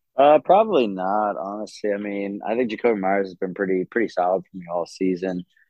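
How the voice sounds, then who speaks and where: A man talks in a normal speaking voice at a fairly quick pace, with hardly any pauses. His intonation stays fairly even while his loudness swings widely. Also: fairly low pitch for a man. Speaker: guest. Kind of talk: casual chat.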